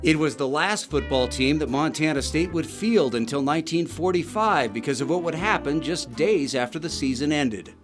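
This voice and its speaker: A man at a fairly high pitch, lively in intonation, at a moderate pace with hardly any pauses, over music in the background. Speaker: TV news reporter. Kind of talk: TV news narration.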